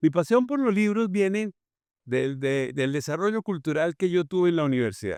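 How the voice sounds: Man with a Santander accent, fairly high pitch, big pitch swings, moderate pace, a clear, smooth and slightly mellow tone, and a dry, close sound with no echo. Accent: Colombian, from Santander.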